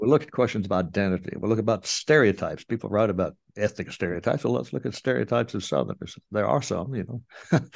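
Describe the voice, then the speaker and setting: With vocal fry and a fairly low pitch, a man talks at a very fast pace with very wide pitch swings over a quiet background. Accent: American. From US South, Kingsport, Tennessee (Appalachia). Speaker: retired sociologist and author. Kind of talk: interview. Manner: halting.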